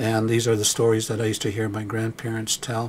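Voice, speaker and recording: Over light background noise, a man of medium pitch talks in a calm tone at a fairly quick pace. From Blackfoot, Canada. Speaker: Blackfoot elder and storyteller. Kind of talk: documentary narration, reflective talk on storytelling. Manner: calm, measured, reflective. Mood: calm, reflective. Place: studio.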